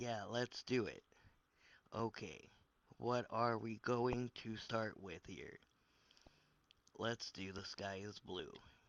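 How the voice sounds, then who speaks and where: A man puts on a raspy character voice at a medium pitch, his intonation fairly even. He talks very slowly with long, frequent pauses, and the sound is dry and close with no echo. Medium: read story.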